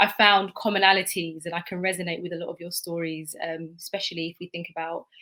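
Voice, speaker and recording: Speaking fairly quickly with a British accent, a woman has a bright, sharp tone. Her pitch sits in the medium range, with fairly even intonation. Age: young. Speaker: teacher. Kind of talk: panel talk.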